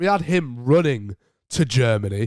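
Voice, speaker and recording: Speaking at a fairly slow pace in a British accent, a man swings his pitch very widely, the sound dry and close with no echo. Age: 18. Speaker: podcast host. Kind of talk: casual chat.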